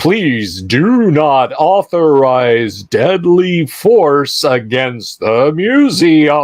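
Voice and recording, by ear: The pace is very slow. This is a put-on character voice. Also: man, fairly high pitch for a man.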